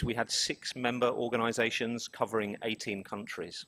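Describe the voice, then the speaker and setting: A man with a London accent speaks at a medium pitch, the sound dry and close with no echo. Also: very clean recording, silent background. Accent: British, London. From London, England. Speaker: business executive presenting survey results. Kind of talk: conference presentation.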